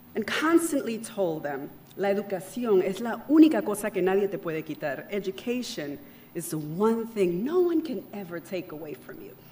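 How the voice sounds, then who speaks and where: Against noticeable background noise, a woman at a medium pitch swings her voice very widely up and down. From Panama. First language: Spanish. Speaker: keynote speaker. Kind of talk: keynote speech. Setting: outdoor event with audience. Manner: switches between English and Spanish.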